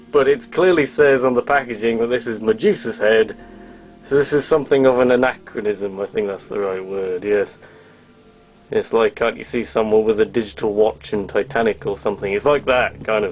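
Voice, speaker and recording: A man's medium-pitched voice at a fairly quick pace, with ordinary pitch variation amid noticeable background noise. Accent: English. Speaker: toy reviewer, YouTuber. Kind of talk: product review, casual.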